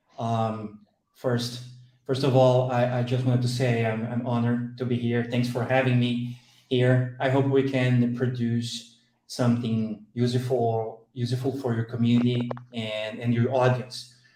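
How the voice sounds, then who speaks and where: At a fairly slow pace, a man speaks with a dark, mellow tone at medium pitch, his intonation monotone and flat, with audible room echo around him. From southern Brazil. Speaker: product manager. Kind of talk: podcast interview. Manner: halting, many fillers and repetitions.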